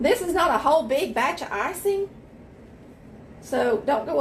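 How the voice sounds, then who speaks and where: Noticeable background noise sits behind a woman with a Southern US accent whose pitch swings very widely. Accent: US South. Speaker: home baker. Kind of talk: tutorial. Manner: loud; casual.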